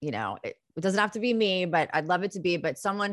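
An ordinary speaking voice with lively intonation at a moderate pace, dry and close with no echo, against a quiet background. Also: woman. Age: 40s. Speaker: therapist. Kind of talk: casual interview chat.

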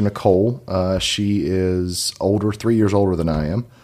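A man with a Kentucky accent on a very clean recording with a silent background. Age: 30s. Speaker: real estate agent. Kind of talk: casual chat.

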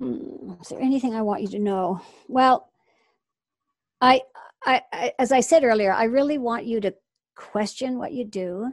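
A woman speaks at a high pitch and a moderate pace, her pitch varying in an ordinary way. She leaves long, frequent pauses against a quiet background. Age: 60s. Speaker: horse and dog training method teacher. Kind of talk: interview.

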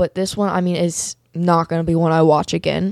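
A woman with an unremarkable speaking voice, fairly low in pitch, at a moderate pace, in a dry, close sound with no echo. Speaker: guest co-host, host's daughter. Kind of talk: casual chat.

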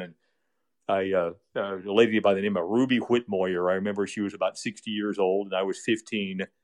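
Talking at a very fast pace, a man keeps a monotone, flat intonation at a fairly low pitch. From US Midwest. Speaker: radio broadcaster and communications director. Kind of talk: casual interview chat.

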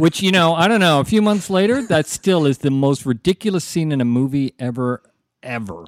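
A normal speaking voice with lively intonation moves at a fairly quick pace in a very clean, dry, close recording with a silent background and no echo. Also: man, fairly high pitch for a man. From Canada, Toronto (North York). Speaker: podcast co-host. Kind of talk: casual chat.

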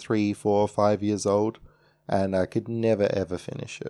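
A man with a dark, mellow tone and fairly low pitch talks at a moderate pace, his voice dry and close with no echo on a very clean recording over a silent background. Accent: Australian. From Australia. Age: 20s. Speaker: podcast host. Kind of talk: solo podcast monologue.

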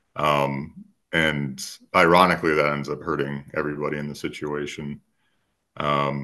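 A man with an American accent, a very deep, low pitch and a bright, sharp tone, against a quiet background. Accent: slight Minnesota accent, comes out at times. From rural Minnesota. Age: 30s. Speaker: writer and lifestyle coach. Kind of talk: casual interview. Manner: hesitant, many filler words.

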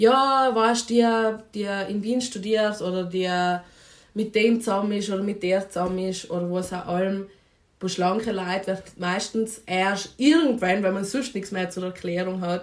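Her pitch is medium and her intonation fairly even. The woman keeps a moderate pace. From South Tyrol, Italy (Vinschgau). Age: 20s. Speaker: anthropology student and feminist activist. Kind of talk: podcast interview. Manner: hesitant, many fillers.

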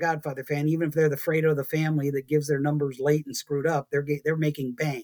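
A fairly high male voice with an American accent, very fast and fairly even in intonation. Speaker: city planner. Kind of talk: casual interview. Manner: rambling, talkative.

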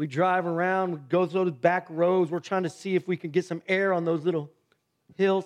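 Loud and animated, the speaker talks at a moderate pace with an American accent. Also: man, high pitch for a man. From US Midwest, Ohio. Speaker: pastor. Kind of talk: sermon. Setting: church.

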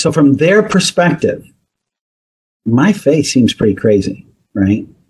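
This man's voice is fairly high and somewhat breathy. He speaks at a fairly slow pace. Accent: American. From US Northeast. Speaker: psychology professor. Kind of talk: interview.

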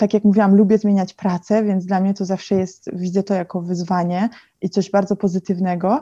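Speaking at a fairly quick pace in a somewhat breathy, dark, mellow tone, a woman holds a medium pitch with monotone, flat intonation, the sound dry and close with no echo against a quiet background. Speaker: fashion digital consultant. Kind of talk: interview. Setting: video call.

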